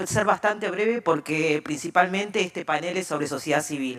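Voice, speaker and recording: A woman with a fairly low voice speaks at a moderate pace with lively intonation and hardly any pauses. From Argentina. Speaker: open data expert. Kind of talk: conference talk.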